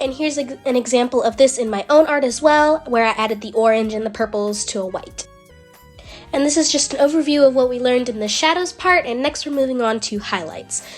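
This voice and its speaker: Over music in the background, a woman speaks fairly quickly in a high pitch with ordinary pitch variation. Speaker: digital artist. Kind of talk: tutorial voiceover.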